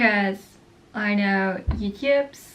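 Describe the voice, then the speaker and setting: Woman with a non-native accent at a medium pitch, ordinary pitch variation, over noticeable background noise. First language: not English. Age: young. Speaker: vlogger. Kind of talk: casual chat. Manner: casual, rambling with fillers.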